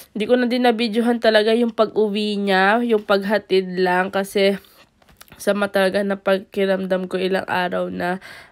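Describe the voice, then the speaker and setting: A woman speaks in a flat monotone at a medium pitch. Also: moderate pace. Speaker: family vlogger, parent. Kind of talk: vlog voice-over narration.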